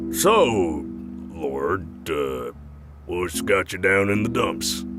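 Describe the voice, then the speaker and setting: In a cartoonish character voice, a man talks very slowly at a very deep, low pitch while music plays clearly in the background. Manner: folksy, casual, gruff.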